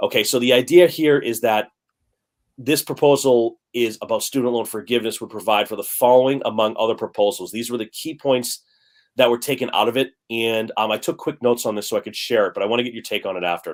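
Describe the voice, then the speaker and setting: On a very clean recording with a silent background, a man talks at a very fast pace and medium pitch. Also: ordinary pitch variation. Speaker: finance channel host. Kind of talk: reading notes aloud; casual live-stream discussion. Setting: live stream.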